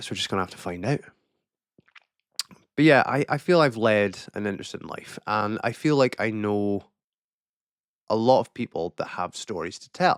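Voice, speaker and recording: A man's fairly low, lively voice in a northern Scottish accent at a moderate pace, in a very clean recording with a silent background. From far north of Scotland. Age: 30s. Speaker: vlogger. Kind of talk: casual monologue to camera. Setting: alone in a room on camera. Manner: halting.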